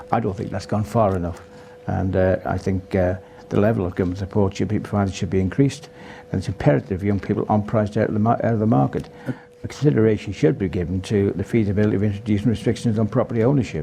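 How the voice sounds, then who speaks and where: Amid noticeable background noise, a man with a fairly low pitch speaks at a very fast pace. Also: ordinary pitch variation. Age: 70s. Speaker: election candidate. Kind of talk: election debate. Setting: live debate with audience at a golf club. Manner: halting.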